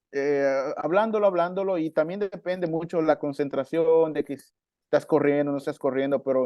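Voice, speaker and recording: A man speaks with a Chiapas accent. His fairly high pitch moves with ordinary variation. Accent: Mexican Chiapas coastal accent, still has it. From Mexico, coast of Chiapas. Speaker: marimba player and music teacher. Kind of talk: podcast interview.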